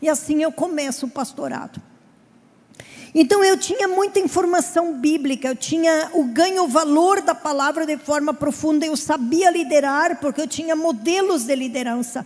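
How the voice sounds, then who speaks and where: Noticeable background noise runs behind a woman speaking at a moderate pace in a southern Brazilian accent. Her voice is high-pitched with ordinary pitch variation. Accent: gaúcho Brazilian Portuguese. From southern Brazil (Rio Grande do Sul). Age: 50s. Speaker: pastor. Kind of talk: sermon.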